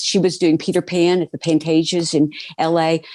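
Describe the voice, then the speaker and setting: A woman speaks in an animated tone with an American accent and a fairly low pitch. Her pace is moderate. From Oklahoma, US Southwest. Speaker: TV producer and performer. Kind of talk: interview conversation. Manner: eloquent, clear diction; animated storytelling.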